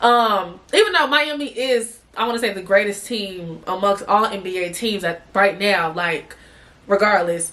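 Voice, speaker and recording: Noticeable background noise fills the recording. Through it, a woman talks at a medium pitch. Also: ordinary pitch variation, moderate pace. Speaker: sports podcast host. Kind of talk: casual podcast talk.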